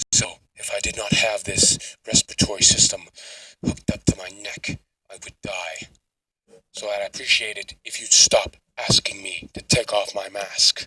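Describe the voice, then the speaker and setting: In a put-on character voice, a man uses a raised, projected voice at an extremely high pitch and a moderate pace. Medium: solo performance. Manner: cold, menacing.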